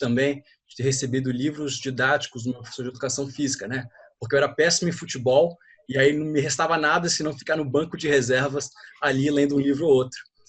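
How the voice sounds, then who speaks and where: Somewhat breathy and with fairly even intonation, a man talks at a very fast pace. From Brazil, São Paulo coast. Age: 20s. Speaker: student asking a question. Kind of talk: audience question in online Q&A.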